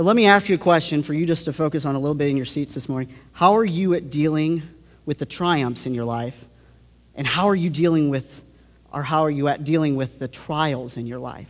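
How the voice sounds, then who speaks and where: Here is a man with an ordinary speaking voice. His pitch is fairly high and his pace fairly quick. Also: ordinary pitch variation. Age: 20s. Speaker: youth pastor, guest preacher. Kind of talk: sermon. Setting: church.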